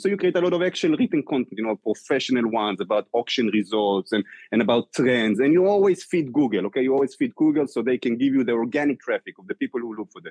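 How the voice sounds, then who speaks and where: Very fast and full of lively intonation, a man talks with a dry, close sound and no echo. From Israel. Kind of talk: interview.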